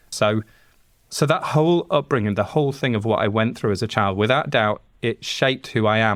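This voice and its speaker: Talking at a fairly quick pace with a Yorkshire accent, a man keeps a medium pitch, ordinary pitch variation and very even loudness. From Yorkshire, northern England. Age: 40s. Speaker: sound engineer. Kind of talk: podcast interview.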